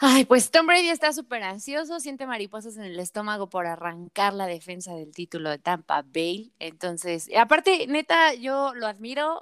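An animated woman with a Mexican accent and lively intonation, on a very clean, dry, close recording with a silent background and no echo. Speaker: sports podcast co-host. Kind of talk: casual chat.

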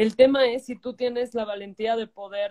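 A woman's ordinary speaking voice, fairly high in pitch, at a moderate pace, dry and close with no echo. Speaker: life coach. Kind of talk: interview. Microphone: bad connection.

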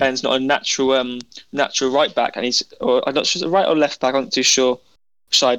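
Against a quiet background, a man with a normal speaking voice and fairly high pitch talks at a fairly quick pace. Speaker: podcast co-host. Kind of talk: casual football chat.

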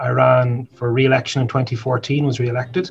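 A South Dublin accent with fairly even intonation over noticeable background noise. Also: man. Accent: south Dublin Irish. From Ireland, south Dublin. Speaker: politician. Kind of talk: interview.

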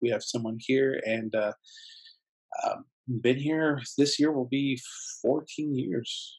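Very slow, fairly high-pitched man's voice with ordinary pitch variation and long, frequent pauses. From San Diego, California. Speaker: teacher and digital media creator. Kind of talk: interview. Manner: halting, many fillers and repeats.

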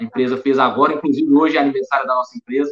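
The voice has monotone, flat intonation and a dry, close sound with no echo. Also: man. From Belo Horizonte, Minas Gerais, Brazil. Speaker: auditor and accountant. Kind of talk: live-streamed panel interview.

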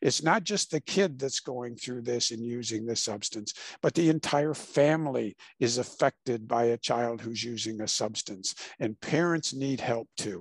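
In a Midwestern American accent, a man of medium pitch speaks at a moderate pace with ordinary pitch variation. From Illinois, US Midwest. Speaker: author and mental health practitioner. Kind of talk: interview.

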